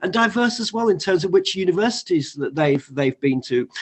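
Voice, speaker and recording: A man speaks with a northern English accent and ordinary pitch variation. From northern England. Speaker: college teacher. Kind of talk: online panel discussion. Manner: halting.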